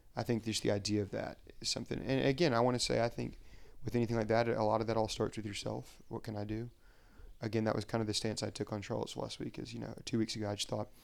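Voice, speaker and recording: A man with an American accent and a fairly low pitch speaks at a very fast pace with vocal fry and fairly even intonation. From US South, Huntsville, Alabama. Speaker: pharmaceutical sales rep. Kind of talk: casual interview.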